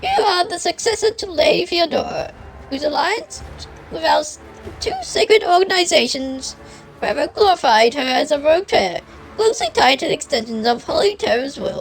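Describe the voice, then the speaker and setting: Over clear background noise, a woman talks at a fairly quick pace in a put-on character voice. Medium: virtual streamer. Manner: stern, clipped.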